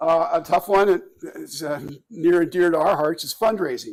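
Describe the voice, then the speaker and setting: Here a man speaks with an American accent at a moderate pace. His pitch is high and his intonation fairly even. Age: 70s. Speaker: amateur radio expedition organizer. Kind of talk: presentation talk. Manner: halting.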